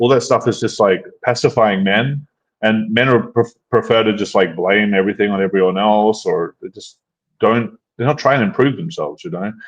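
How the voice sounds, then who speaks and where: Medium in pitch, this man's voice has ordinary pitch variation. It is an ordinary speaking voice at a moderate pace. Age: 30s. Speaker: dating coach and channel host. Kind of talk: casual chat. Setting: live stream.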